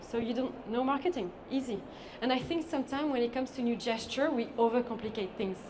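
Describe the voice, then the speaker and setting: Over noticeable background noise and audible room echo, a woman talks at a very fast pace and a fairly high pitch with ordinary pitch variation. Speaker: sustainable beauty consultant. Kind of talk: conference talk.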